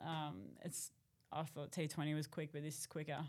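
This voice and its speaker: A woman with an Australian accent speaks at a moderate pace in a very deep, low pitch and a monotone, flat intonation, on a very clean recording with a silent background. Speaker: cricket captain. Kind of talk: casual interview.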